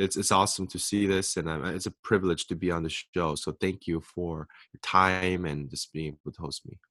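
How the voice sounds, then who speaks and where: The recording is very clean, with a silent background. A man speaks fairly quickly at a very deep, low pitch. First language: Korean. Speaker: author and speaker. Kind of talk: interview.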